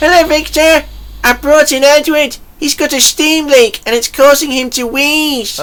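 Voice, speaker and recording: Using a put-on character voice, a woman speaks at a high pitch and moderate pace. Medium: audio drama. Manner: eager, upbeat.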